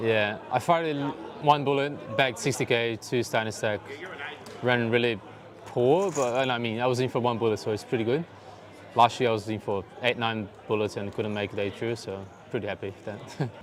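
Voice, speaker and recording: A man talks at a fairly quick pace broken by long, frequent pauses, with noticeable background noise. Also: medium pitch for a man, ordinary pitch variation. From Brazil. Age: 20s. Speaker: poker player. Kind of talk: interview.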